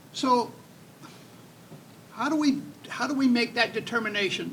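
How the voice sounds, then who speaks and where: Fairly slow speech from a man, with ordinary pitch variation and noticeable background noise. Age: 70s. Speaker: state legislator. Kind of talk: panel discussion.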